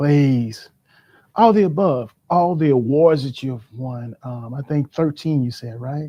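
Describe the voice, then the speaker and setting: A dark, mellow tone at a very slow pace, with big swings in loudness and ordinary pitch variation. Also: man, fairly high pitch for a man, quiet background. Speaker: livestream host. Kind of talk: interview. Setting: livestream. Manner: shaky voice.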